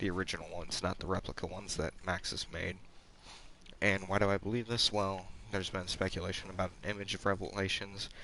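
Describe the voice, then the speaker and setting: Quiet and very fast, a man with a fairly low pitch talks in a bright, sharp tone with monotone, flat intonation. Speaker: gaming streamer. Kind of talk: gameplay commentary.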